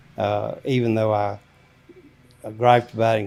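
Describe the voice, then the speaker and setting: A man with an Alabama accent talks at a medium pitch and a moderate pace. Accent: Southern US (Alabama). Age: 70s. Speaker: grandfather, military veteran. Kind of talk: interview. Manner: halting.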